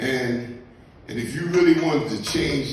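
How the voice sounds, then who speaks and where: A man with a fairly high pitch at a very slow pace, amid noticeable background noise and audible room echo. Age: 60s. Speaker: recovering addict giving testimony. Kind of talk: testimony. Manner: animated.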